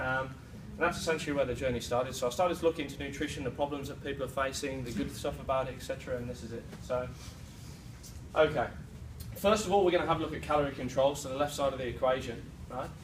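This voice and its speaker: A man with a British accent talks at a very fast pace yet with long, frequent pauses, his pitch fairly high and its variation ordinary, amid audible room echo. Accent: British, noticeable. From UK. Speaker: presenter at a sales meeting, fitness trainer. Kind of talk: sales presentation. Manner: hesitant fillers.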